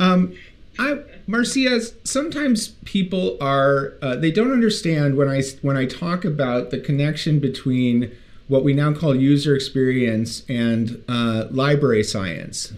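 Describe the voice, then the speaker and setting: A man with an ordinary speaking voice, fairly high in pitch and lively in intonation. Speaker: podcast co-host. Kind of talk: podcast interview.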